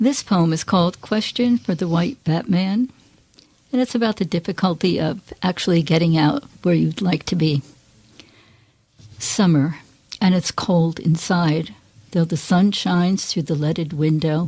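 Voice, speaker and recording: A woman talks at a fairly slow pace in a fairly low, somewhat breathy voice with a dark, mellow tone. Her loudness stays very even, and her pitch varies in an ordinary way. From Poughkeepsie, New York. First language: Greek. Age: 70s. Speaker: poet. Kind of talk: poetry reading.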